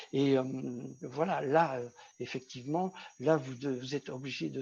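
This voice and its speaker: This man's voice is somewhat breathy, at a medium pitch with ordinary pitch variation. He keeps a moderate pace. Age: 60s. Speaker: vocational trainer. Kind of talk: online workshop talk.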